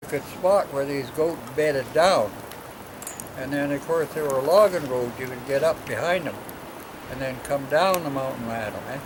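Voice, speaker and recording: Background noise is noticeable. The pace is moderate, with ordinary pitch variation. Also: man, fairly high pitch for a man. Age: 80s+. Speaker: hunter. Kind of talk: storytelling interview answer. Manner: casual, rambling.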